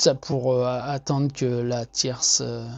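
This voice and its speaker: Somewhat breathy and monotone, a man speaks at a medium pitch and a very slow pace with flat intonation. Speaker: artist sharing monthly energy reading. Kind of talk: casual monologue. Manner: hesitant, many fillers and repetitions.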